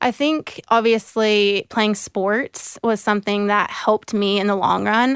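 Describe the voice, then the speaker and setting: An ordinary speaking voice holds very even loudness and fairly even intonation, going at a fairly slow pace with hardly any pauses. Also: woman, medium pitch for a woman. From US South, Jacksonville, Florida. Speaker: professional soccer player. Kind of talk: interview.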